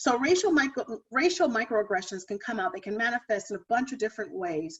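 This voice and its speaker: Talking at a fairly quick pace, a woman with a fairly high pitch makes very wide pitch swings. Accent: American. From US Midwest, Ohio. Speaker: diversity and wellbeing speaker. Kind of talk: lecture.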